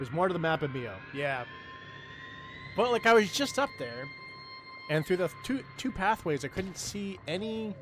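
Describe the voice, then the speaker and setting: A man's high-pitched voice with very wide pitch swings and long, frequent pauses, over music in the background. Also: moderate pace. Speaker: gaming streamer. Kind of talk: casual live gameplay commentary.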